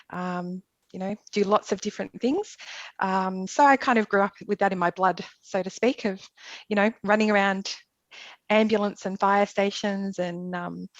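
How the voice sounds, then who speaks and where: A woman with an Australian accent speaks at medium pitch and a moderate pace. Her intonation is fairly even, and the sound is dry and close with no echo. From Australia, Melbourne. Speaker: emergency nurse. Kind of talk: casual interview.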